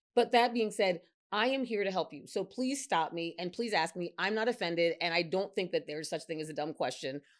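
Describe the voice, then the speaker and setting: A woman at a medium pitch talks at a fairly quick pace with hardly any pauses, her tone animated and her intonation lively, on a very clean recording with a silent background. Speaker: physician, women's health specialist. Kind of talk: interview chat. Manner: fast.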